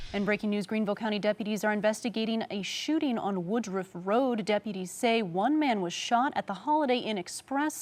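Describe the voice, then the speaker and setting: In an ordinary speaking voice, a woman talks at a fairly quick pace with hardly any pauses and ordinary pitch variation. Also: fairly high pitch for a woman. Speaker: television news anchor. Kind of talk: TV news anchor delivery.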